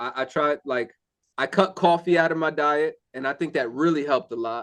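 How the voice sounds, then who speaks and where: A man with an ordinary speaking voice, fairly high in pitch for a man, ordinary pitch variation and a fairly quick pace against a quiet background. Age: 40s. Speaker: singer and construction worker. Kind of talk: casual chat. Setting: video call.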